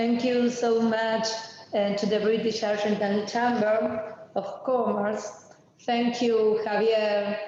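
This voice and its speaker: A woman with a Spanish accent, fairly high-pitched, speaking very slowly in a flat monotone, with audible room echo and noticeable background noise. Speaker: government official. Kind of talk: presentation.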